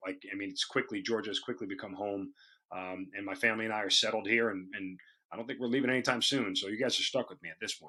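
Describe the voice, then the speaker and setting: Very fast and bright, sharp in tone, a man speaks with a New York accent. His medium pitch shows ordinary variation. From New York, Long Island. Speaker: radio host and army officer. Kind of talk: interview.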